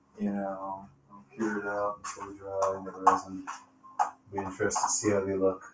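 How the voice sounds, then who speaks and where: Soft-spoken and fairly low in pitch, a man talks at a moderate pace in a monotone, flat intonation, with long, frequent pauses, big swings in loudness and music in the background. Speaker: abstract painter livestreaming. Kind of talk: casual livestream chat. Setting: livestream. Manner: soft-spoken, low talker.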